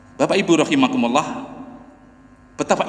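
With audible room echo around him, a man's voice makes very wide pitch swings. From Indonesia. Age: 60s. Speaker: preacher; mosque preacher. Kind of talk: sermon. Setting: mosque. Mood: warm, smiling. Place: church. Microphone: podium.

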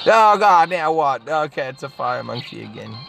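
Very slow speech with a dry sound, no echo, and faint music in the background. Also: woman. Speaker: gamer. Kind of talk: game commentary. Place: car.

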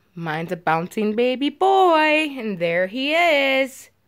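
A woman speaks against a quiet background. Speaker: reborn doll collector vlogger. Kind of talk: casual vlog chat. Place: home room. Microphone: phone near.

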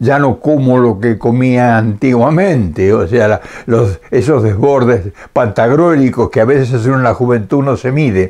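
A man speaks at a fairly slow pace in a dark, mellow tone. His pitch varies in an ordinary way. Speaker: elderly vlogger. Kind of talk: casual vlog chat. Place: home room. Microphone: camera far.

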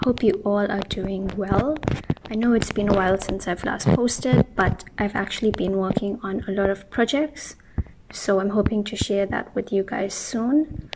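Noticeable background noise behind a woman at a moderate pace, her pitch variation ordinary. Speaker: room makeover vlogger. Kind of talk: casual vlog chat. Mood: relaxed, friendly. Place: home room.

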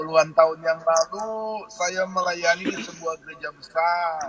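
Light background noise sits under a man's voice, and the sound is dry with no echo. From Maluku, Indonesia. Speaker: pastor. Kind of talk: casual chat. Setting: phone call. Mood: animated, cheerful storytelling. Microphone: video call.

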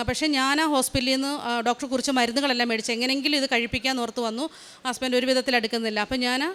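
Fairly even intonation from a woman at a high pitch. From Kerala, Alappuzha district (Haripad). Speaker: nurse. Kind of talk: testimony. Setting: church altar.

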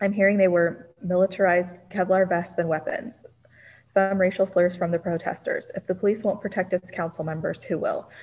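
A woman's medium-pitched voice, somewhat breathy, with monotone, flat intonation. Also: fairly quick pace. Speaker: council staff reading public comments. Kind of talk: roll call and reading public comments aloud. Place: home room. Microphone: video call.

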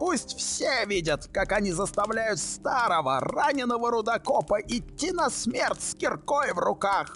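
Over clear background music, a man with a high pitch talks at a moderate pace with hardly any pauses and very wide pitch swings. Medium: fan dub. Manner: bitter, defiant.

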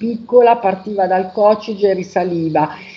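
Her intonation is fairly even. The woman keeps to a moderate tempo. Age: 50s. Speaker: testimonial giver. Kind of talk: testimony. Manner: halting. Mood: calm, reflective. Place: home room. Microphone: video call.

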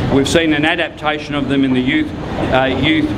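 Over loud background noise, a man speaks fairly quickly in an Australian accent. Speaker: lawyer and rally speaker. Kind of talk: rally speech. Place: street.

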